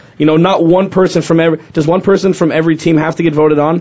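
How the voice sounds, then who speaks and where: At a very fast pace, a man speaks at a high pitch with fairly even intonation. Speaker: sports talk co-host. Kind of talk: casual chat.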